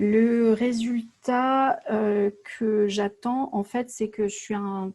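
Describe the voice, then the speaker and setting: A woman speaks very slowly with a fairly high pitch and a dark, mellow tone. Her voice is somewhat breathy, with fairly even intonation. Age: 40s. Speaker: entrepreneur. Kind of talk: coaching session. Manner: halting.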